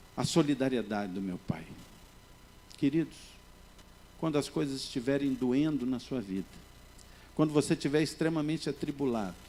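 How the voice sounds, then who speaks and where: Here a man talks with lively intonation at a fairly high pitch. His pace is moderate. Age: 60s. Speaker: pastor. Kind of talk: sermon.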